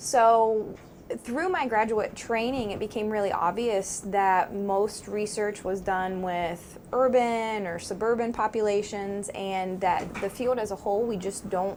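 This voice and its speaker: A woman with a slight southeastern Ohio accent speaks at a medium pitch with fairly even intonation. Her pace is fairly slow, and she hardly pauses. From southeastern Ohio, Meigs County. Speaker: psychology professor. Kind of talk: interview.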